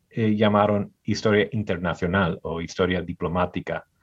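This man has a normal speaking voice with fairly low pitch. His intonation is fairly even and his pace fairly slow. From US Midwest, Michigan. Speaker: historian. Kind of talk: interview. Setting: video call.

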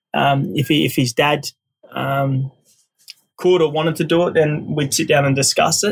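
Fairly even intonation and long, frequent pauses mark this speech in an Australian accent. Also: man, fairly high pitch for a man, moderate pace. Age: 30s. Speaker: podcast host. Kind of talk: casual monologue. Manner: halting, many fillers.

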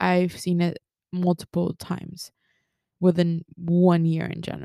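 A woman speaks in an animated tone, the sound dry and close with no echo. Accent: Spanish. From Mexico. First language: Spanish. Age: 20s. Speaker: podcast host. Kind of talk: casual solo podcast monologue.

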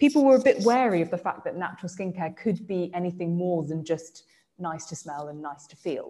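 At a fairly quick pace, a woman with an English accent talks at a fairly low pitch with lively intonation. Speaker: skincare brand founder. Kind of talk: interview. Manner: hesitant, with fillers.

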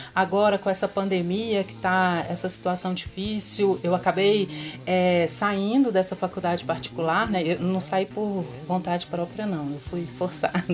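A woman's medium-pitched voice, a normal speaking voice, moves at a moderate pace with ordinary pitch variation. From Belo Horizonte, Minas Gerais, Brazil. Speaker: biologist. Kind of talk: casual chat.

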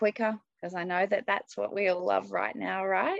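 A woman with an Australian accent. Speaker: executive coach and leadership trainer. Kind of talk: interview conversation.

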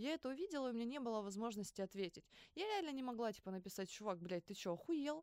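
A woman talks at a very fast pace in an animated tone. Her pitch swings very widely. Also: fairly high pitch for a woman. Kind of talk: casual chat. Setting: studio.

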